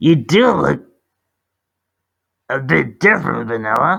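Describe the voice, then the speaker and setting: This man adopts an affected character voice, pitched in the middle range. His delivery is rather unhurried. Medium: read story.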